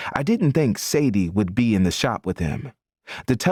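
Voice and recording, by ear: With a quiet background, the speaker is heard reading aloud in a natural voice.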